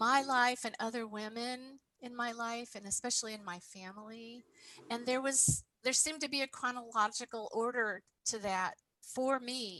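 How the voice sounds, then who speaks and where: A woman with an American accent speaks in a high pitch with a bright, sharp tone. Her loudness swings widely. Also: moderate pace. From Appalachian Ohio. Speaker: poet. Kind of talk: interview. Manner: animated.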